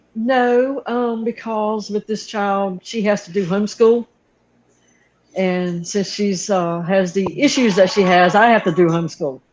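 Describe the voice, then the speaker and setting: A woman with a Southern accent talks at a fairly slow pace, her medium-pitched voice showing ordinary pitch variation. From North Carolina. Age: 60s. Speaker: aquarium hobbyist YouTuber. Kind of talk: casual interview chat.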